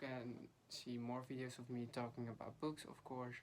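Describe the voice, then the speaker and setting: A woman with a Dutch accent talks at a moderate pace, her pitch very deep and low. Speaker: book vlogger. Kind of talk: casual chat.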